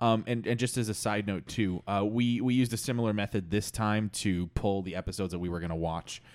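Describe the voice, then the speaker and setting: In a very clean recording with a silent background, a man with an ordinary speaking voice talks at a fairly quick pace with hardly any pauses, a fairly low pitch, and ordinary pitch variation. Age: 20s. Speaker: podcast co-host. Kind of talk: casual chat.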